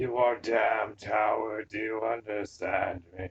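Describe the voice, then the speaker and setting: A put-on character voice from a man, medium in pitch, at a fairly slow pace. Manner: menacing, taunting.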